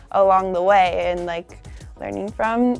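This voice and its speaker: A woman talks at a fairly slow pace with ordinary pitch variation while music plays in the background. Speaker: actress in a TV drama. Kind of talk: casual interview answer. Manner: casual, reflective, conversational with fillers.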